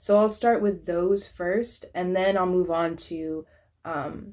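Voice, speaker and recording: At a fairly slow pace, a woman speaks in a normal speaking voice at medium pitch, on a very clean recording with a silent background. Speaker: tarot reader. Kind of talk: tarot reading.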